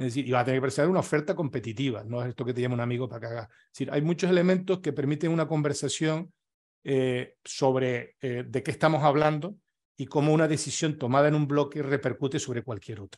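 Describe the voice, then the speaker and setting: The delivery is very fast, with ordinary pitch variation and big swings in loudness, over a quiet background. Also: man. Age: 60s. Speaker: retired business consultant and workshop speaker; speaker. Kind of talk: workshop talk. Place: home room. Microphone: webcam.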